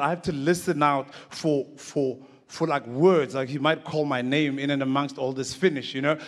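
A quiet background surrounds talking that proceeds at a moderate pace. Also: man. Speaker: conference speaker. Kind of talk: comic storytelling talk. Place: stage. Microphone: handheld.

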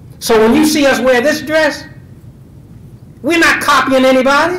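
Speaking at a moderate pace, a man has an extremely high pitch, a fairly bright tone and ordinary pitch variation, with audible room echo.

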